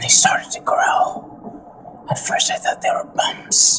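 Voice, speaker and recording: A man speaks in a put-on character voice, raspy and at a fairly slow pace. There is a slight echo. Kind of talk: in-character party confession. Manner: slow, ominous horror storytelling.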